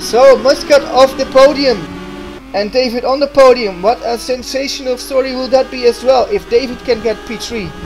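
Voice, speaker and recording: A man with a non-native accent speaks at a moderate pace in an extremely high pitch, with ordinary pitch variation. Noticeable background noise runs underneath. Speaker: sim racing commentator. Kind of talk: live commentary. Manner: hesitant, many fillers; animated.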